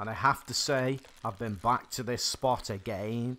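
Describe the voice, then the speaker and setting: A man speaks with an English accent at a medium pitch. His pace is fairly slow, with ordinary pitch variation. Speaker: gaming youtuber. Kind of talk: gameplay commentary. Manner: animated.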